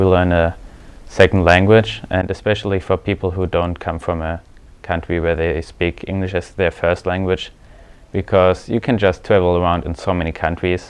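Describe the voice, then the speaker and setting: Speaking at a moderate pace, a man with a German accent has a very deep, low pitch. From Germany. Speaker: exchange student. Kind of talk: interview.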